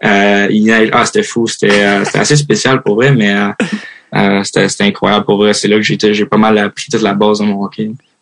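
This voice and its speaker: At a fairly quick pace, a man delivers his lines at a fairly low pitch with monotone, flat intonation and very even loudness. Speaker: hockey player. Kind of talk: interview. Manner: casual, many fillers.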